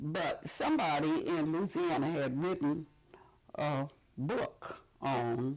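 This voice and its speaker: Talking at a very slow pace, a woman with a Mississippi accent has a very deep, low pitch. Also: ordinary pitch variation. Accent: Southern US (Mississippi). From Jackson, Mississippi. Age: 80s+. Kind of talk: oral history interview answer. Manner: hesitant, conversational.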